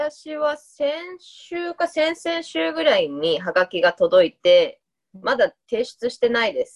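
A woman speaks very slowly at a high pitch, her voice swinging very widely in pitch. The sound is dry and close, with no echo. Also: big swings in loudness. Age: 30s. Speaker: podcast co-host. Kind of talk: casual chat.

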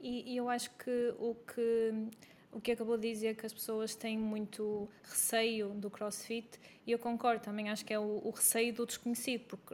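A woman's fairly high voice at a moderate pace, monotone and flat in intonation. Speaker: podcast host, health coach. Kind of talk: scripted introduction; interview.

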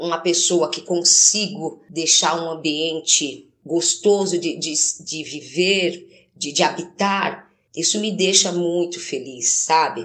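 The delivery is very slow. Intonation remains fairly even throughout. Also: woman. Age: 30s. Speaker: domestic cleaner. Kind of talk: testimony.

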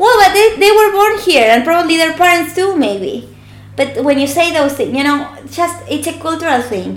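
A woman with a strong Argentine accent speaks at an extremely high pitch and a moderate pace. Her pitch swings very widely, and there is noticeable background noise. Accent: strong Argentinian Spanish. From Argentina. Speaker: podcast guest.

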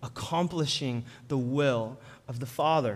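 A man with an American accent at a moderate pace, in a room with audible echo. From Colorado, Denver. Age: 30s. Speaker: guest preacher. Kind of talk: sermon.

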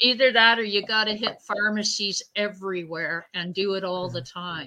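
Her voice has a bright, sharp tone at a medium pitch for a woman. She keeps a moderate pace with ordinary pitch variation. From British Columbia, Canada. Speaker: guest fan of the series. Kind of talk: casual chat.

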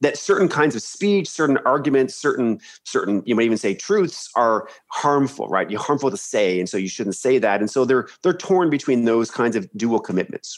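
In a Canadian accent, a man speaks at medium pitch with very wide pitch swings. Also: moderate pace, hardly any pauses. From Canada, Ontario (Peterborough area). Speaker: history professor. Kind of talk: interview conversation. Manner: halting with many repetitions.

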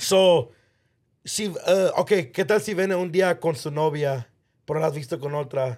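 A man with a fairly high pitch talks in an animated tone at a moderate pace. His pitch varies in an ordinary way, and the recording is very clean with a silent background. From Los Angeles, Mexican-American. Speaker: podcast co-host. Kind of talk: casual chat.

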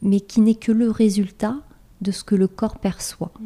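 A somewhat breathy woman's voice at a medium pitch, with a dark, mellow tone and a moderate pace. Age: 40s. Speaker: life coach. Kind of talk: interview.

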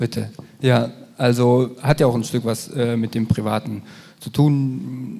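A man's medium-pitched voice, fairly even in intonation, at a very slow pace over noticeable background noise. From eastern Germany. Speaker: podcast host. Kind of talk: live podcast recording. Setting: stage with live audience. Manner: hesitant, many fillers.

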